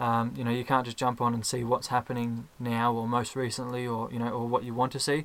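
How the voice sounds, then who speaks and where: A man with an Australian accent speaks at a medium pitch in a monotone, flat intonation, moving at a fairly quick pace with hardly any pauses. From Australia (Ballarat, Victoria). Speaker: podcast fan. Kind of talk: casual chat. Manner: halting, many fillers and repeated words.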